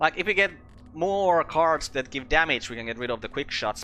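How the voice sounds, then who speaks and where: Music plays in the background. A man with a fairly high voice speaks at a moderate pace. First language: not English. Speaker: gaming video creator. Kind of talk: let's play commentary. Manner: casual, thinking aloud.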